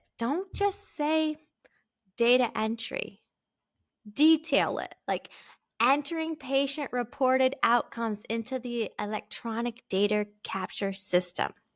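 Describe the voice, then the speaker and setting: On a very clean recording with a silent background, a woman with a high pitch speaks at a fairly slow pace in an animated tone. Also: lively intonation. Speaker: podcast host. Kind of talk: solo podcast tutorial.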